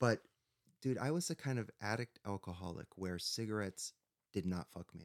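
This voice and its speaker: A man with a normal speaking voice talks at a moderate pace with lively intonation. His pitch is fairly low, and the sound is dry and close with no echo. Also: big swings in loudness. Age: 40s. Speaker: author and recovering addict. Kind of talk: casual interview chat.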